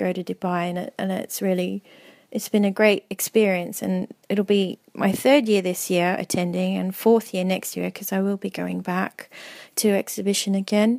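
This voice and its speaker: The speaker has an Australian accent and a monotone, flat intonation at a moderate pace. The sound is dry and close, with no echo. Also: woman. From Australia (Melbourne). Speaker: milliner. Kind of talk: interview. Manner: halting, many fillers.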